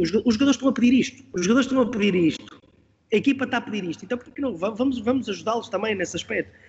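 Very rapid male speech, pitch varying in an ordinary way. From Portugal, Porto. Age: 40s. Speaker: football coach. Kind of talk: interview. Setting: podcast.

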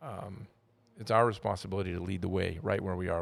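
Recorded very cleanly against a silent background, a man with a fairly low pitch and an American accent speaks at a very fast pace. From Wyoming, US West. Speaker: podcast co-host. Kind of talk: casual chat.

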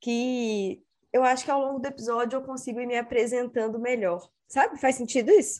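A woman's high-pitched voice with a dark, mellow tone, ordinary pitch variation and a moderate pace. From Brazil, Espírito Santo. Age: 30s. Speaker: personal organization content creator. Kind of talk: casual interview chat.

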